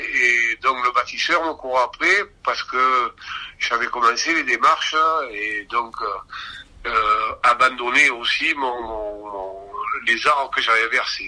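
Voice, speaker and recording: This man talks at a very slow pace. Behind him is noticeable background noise. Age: 60s. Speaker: union and consumer association activist. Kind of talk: interview. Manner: halting.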